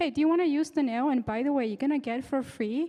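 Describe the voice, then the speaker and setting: A woman speaks with a non-native accent and lively intonation. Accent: noticeable non-native English. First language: not English. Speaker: startup founder, tech speaker. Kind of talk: conference talk. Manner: halting.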